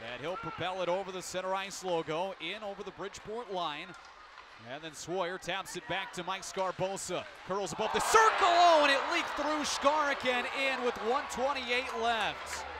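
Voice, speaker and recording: Loud background noise surrounds a man speaking in a high pitch with lively intonation, in a dry sound with no echo. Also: moderate pace. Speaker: hockey play-by-play announcer. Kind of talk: live play-by-play hockey commentary. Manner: shifts to calmer wrap-up summary after the final goal. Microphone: headset.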